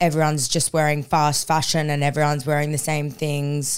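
In a very clean recording with a silent background, a woman with an Australian accent talks at a moderate pace in a very deep, low pitch. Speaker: podcast co-host. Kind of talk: casual chat. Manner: loud; animated.

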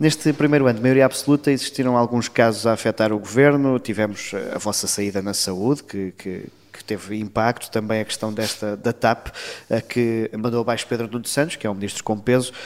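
In an unremarkable speaking voice of medium pitch, a man talks at a fairly quick pace with fairly even intonation. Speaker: political journalist. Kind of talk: interview.

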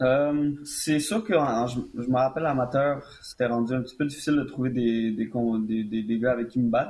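A man with a normal speaking voice at medium pitch, a fairly slow pace, and fairly even intonation. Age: 20s. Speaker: mixed martial arts fighter. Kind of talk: interview.

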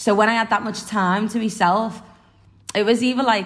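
A woman with a Liverpool accent speaks at a fairly high pitch with ordinary pitch variation. Noticeable background noise runs under her voice. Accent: Liverpool (Scouse). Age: 20s. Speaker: singer-songwriter and footballer. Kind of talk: casual interview.

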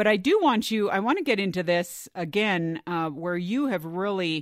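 On a very clean recording with a silent background, a woman with a normal speaking voice talks fairly slowly at a fairly low pitch. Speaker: podcast host. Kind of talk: casual roundtable chat and interview.

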